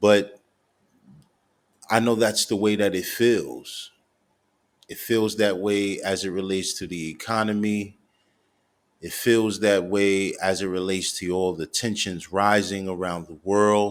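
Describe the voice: A man's slow, low-pitched speech with fairly even intonation and long, frequent pauses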